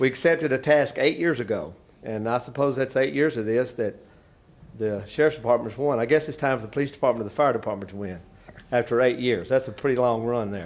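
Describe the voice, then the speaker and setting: In a Tennessee accent, a man talks at a very fast pace. His pitch is medium, with ordinary variation. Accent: US Southern (Tennessee). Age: 60s. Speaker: fire department chief. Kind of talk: press conference speech. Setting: stadium press room. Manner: halting, many fillers.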